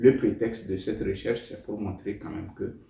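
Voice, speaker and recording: With a Togolese accent, a man speaks in a dark, mellow tone that is somewhat breathy. Audible room echo surrounds his voice. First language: Tem (speaking French). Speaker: novelist. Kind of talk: interview. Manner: hesitant, with fillers.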